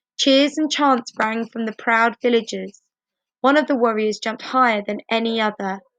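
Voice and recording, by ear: Against a quiet background, this is reading aloud in a natural voice.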